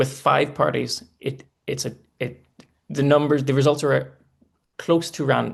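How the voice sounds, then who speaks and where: Pausing often and at length, a man speaks at a moderate pace. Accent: Northern Irish. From Northern Ireland. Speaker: election analyst. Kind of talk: live election commentary. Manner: halting.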